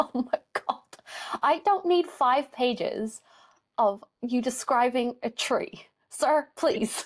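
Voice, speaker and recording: A woman with an Irish accent, high-pitched and very slow, with long, frequent pauses, lively intonation and very even loudness. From Ireland. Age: 20s. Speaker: podcast co-host. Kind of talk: casual chat.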